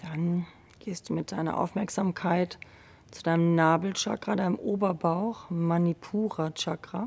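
In a normal speaking voice, a woman talks at a fairly low pitch and fairly slow pace, with big swings in loudness. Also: fairly even intonation. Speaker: yoga teacher. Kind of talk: guided meditation. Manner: slow, calm, soothing; gentle, unhurried, with long pauses.

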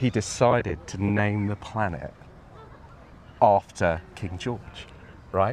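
With a southern English accent, a man speaks very slowly at a fairly low pitch, leaving long, frequent pauses. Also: ordinary pitch variation. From England, Crawley, West Sussex. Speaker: artist and architect. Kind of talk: casual chat. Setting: outdoors.

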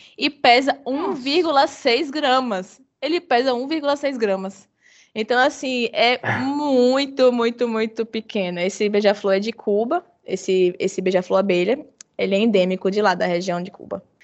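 At a fairly slow pace, a woman talks in an unremarkable speaking voice pitched fairly high. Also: lively intonation. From Bahia, Brazil. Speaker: biologist, hummingbird researcher. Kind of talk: casual interview.

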